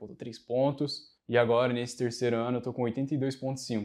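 A man's fairly slow, monotone delivery with flat intonation against a quiet background. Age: 20s. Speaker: military academy candidate; interviewee, candidate. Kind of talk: interview. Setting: in person studio. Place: studio. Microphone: lapel.

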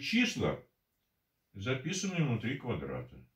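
A man's voice with audible room echo against a quiet background. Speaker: mathematician. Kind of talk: math lecture at a whiteboard. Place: home room. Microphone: camera far.

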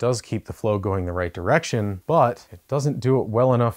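A man with a plain, everyday voice speaks at a moderate pace with ordinary pitch variation against a quiet background. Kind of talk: tutorial. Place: garage. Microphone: lapel.

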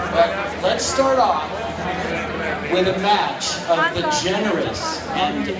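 A man amid loud background noise and audible room echo. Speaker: fundraising auctioneer. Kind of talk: charity fund-a-need auction calling. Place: hall. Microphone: pa.

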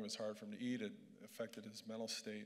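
A man speaking at a very fast pace in a monotone with flat intonation. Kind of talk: speech. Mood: earnest, lightly humorous. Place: hall. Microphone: handheld.

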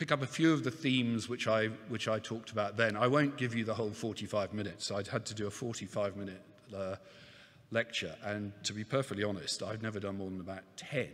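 At a fairly quick pace, a man with a fairly low pitch speaks with ordinary pitch variation. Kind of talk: opening speech. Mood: warm, lightly humorous. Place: hall. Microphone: podium.

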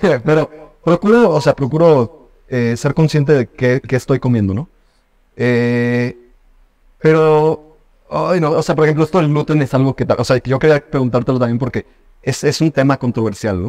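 This is a man speaking at a moderate pace. His pitch varies in an ordinary way. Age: 20s. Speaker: podcast host. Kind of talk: casual chat. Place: home room. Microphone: studio mic.

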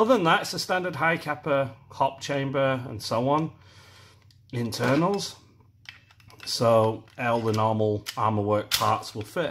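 The pitch of this man's voice swings across a very wide range. He goes at a fairly slow tempo. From UK. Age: middle-aged. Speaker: airsoft product reviewer, YouTuber. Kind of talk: product review. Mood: disappointed, critical. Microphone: phone near.

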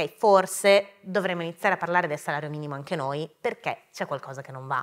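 A woman's very fast speech, fairly low in pitch with ordinary variation and a bright, sharp tone, over a quiet background. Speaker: politician. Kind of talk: live interview on stage. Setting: theatre stage with audience. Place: stage.

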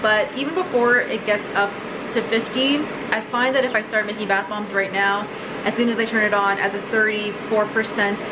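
A woman talks at a moderate pace. Music can be heard in the background. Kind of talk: tutorial. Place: kitchen. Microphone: phone near.

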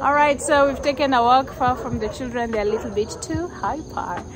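A woman talks at a moderate pace in a high voice with ordinary pitch variation. Noticeable background noise runs underneath. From Kenya. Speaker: vlogger and minister; vlogger, minister. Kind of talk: casual chat; casual vlog chat. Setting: outdoors. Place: street. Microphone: phone near.

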